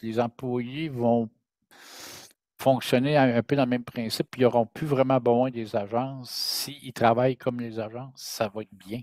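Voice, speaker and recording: With a Quebec accent, a man speaks at medium pitch and a moderate pace with fairly even intonation, in a dry, close, very clean recording with no echo and a silent background. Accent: Québécois French. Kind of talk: casual chat.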